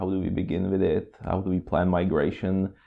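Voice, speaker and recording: A man with a very deep, low pitch and a Czech accent, at a moderate pace. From Czech Republic. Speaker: cloud consultant. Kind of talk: casual interview. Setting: on location at a company office.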